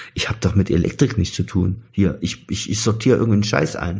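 A man's fairly low, dark, mellow voice, somewhat breathy, at a very fast pace. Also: very clean recording, silent background. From Saxony, near Chemnitz. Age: 50s. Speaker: former East German expellee, electrician. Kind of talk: interview, personal testimony. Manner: halting, many fillers.

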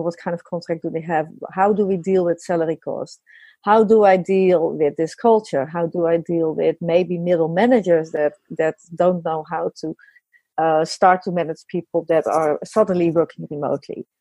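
At a moderate pace, a woman with a Dutch accent speaks at a fairly low pitch with a dark, mellow tone and fairly even intonation, the sound dry and close with no echo. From Netherlands. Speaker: business consultant. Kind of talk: interview.

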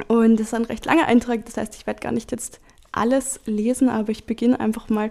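A woman talks at a fairly high pitch with vocal fry. Her intonation stays monotone and flat. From Salzburg region, Austria (Hallein). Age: 20s. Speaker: diary slam participant. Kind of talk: reading aloud.

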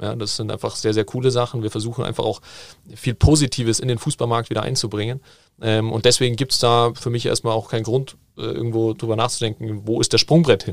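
With a plain, everyday voice, a man of medium pitch speaks at a fairly quick pace with fairly even intonation on a very clean recording with a silent background. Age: 20s. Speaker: football management educator. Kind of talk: casual interview.

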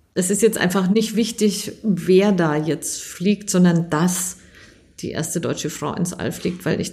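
Her voice is fairly low, dark and mellow, with vocal fry. The woman talks at a fairly slow pace with fairly even intonation. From Germany. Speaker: aerospace engineer. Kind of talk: interview.

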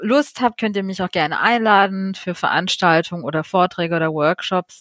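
Here is a normal speaking voice from a woman at medium pitch, with ordinary pitch variation and a moderate pace. The recording is very clean, the background silent. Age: 30s. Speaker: marine conservation activist. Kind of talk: podcast interview.

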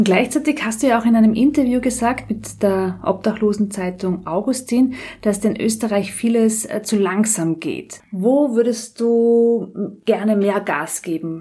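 A woman with a fairly high, dark, mellow voice sounds somewhat breathy. She goes at a fairly slow pace with hardly any pauses. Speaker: politician and podcast host. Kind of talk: interview. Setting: in the guest's flat.

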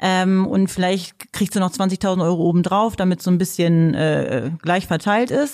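In a very clean recording with a silent background, a woman speaks with a normal speaking voice. Her loudness stays very even, and her pitch varies in an ordinary way. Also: medium pitch for a woman, fairly slow pace. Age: 30s. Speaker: podcast co-host. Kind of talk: casual chat.

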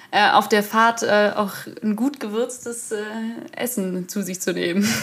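The speaker is a woman with a fairly high voice. She keeps her intonation fairly even. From Munich, Bavaria. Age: 20s. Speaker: field hockey player and student teacher. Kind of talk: casual interview chat. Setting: video call.

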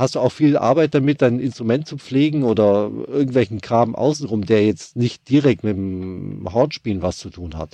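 The tone is dark and mellow, with big swings in loudness. The background is quiet. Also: man, medium pitch for a man, lively intonation, moderate pace. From Bavaria, Germany. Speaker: orchestra violist, podcast host. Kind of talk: scripted podcast intro and casual chat. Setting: Skype call.

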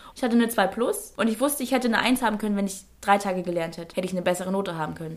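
At a very fast pace, a woman speaks with lively intonation. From northern Germany, Schleswig-Holstein. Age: 20s. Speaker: presenter and influencer. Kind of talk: interview. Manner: talkative.

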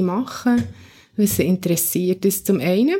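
The tone is dark and mellow, with ordinary pitch variation at a moderate pace. The recording is very clean, with a silent background. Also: woman. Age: 40s. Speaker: church youth worker. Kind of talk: interview. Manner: halting.

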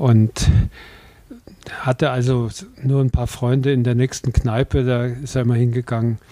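A man speaks at a moderate pace with monotone, flat intonation. Long pauses come often. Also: medium pitch for a man, dry, close sound with no echo. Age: 80s+. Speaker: hospice volunteer, retired journalist. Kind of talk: interview. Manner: hesitant, many fillers.

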